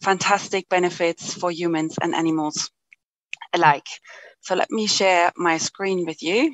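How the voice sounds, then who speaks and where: In a German accent, a woman with a fairly low voice talks at a fairly slow pace with ordinary pitch variation. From Germany. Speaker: company director and apitherapy presenter. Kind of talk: conference presentation.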